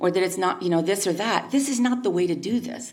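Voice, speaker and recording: With very wide pitch swings around a medium pitch, a woman talks at a fairly quick pace in a room with audible echo. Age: 60s. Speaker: local retailer giving public comment. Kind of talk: public comment at city council meeting. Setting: city council meeting. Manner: halting.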